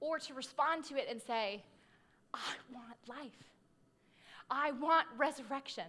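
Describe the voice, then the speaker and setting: A woman's high, bright, sharp voice, raised and projected, at a very slow pace with long, frequent pauses, ordinary pitch variation and big swings in loudness. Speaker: pastor. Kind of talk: sermon.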